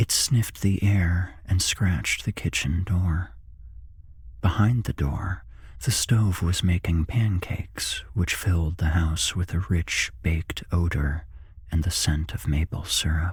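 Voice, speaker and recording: A man whispering at a fairly slow pace, somewhat breathy. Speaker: narrator. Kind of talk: horror story reading. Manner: whispered.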